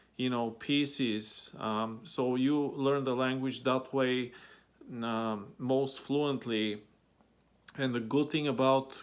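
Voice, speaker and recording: A man speaks in a Bulgarian accent at a medium pitch. His delivery is very slow, with monotone, flat intonation. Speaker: vlogger. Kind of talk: advice vlog. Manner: many fillers and hesitations.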